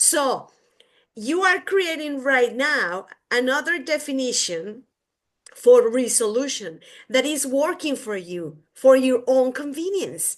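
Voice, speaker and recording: Speaking at a very slow pace with a Mexican accent, a woman uses a high pitch that swings very widely against a quiet background. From Mexico. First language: Spanish. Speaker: podcast co-host. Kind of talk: casual chat.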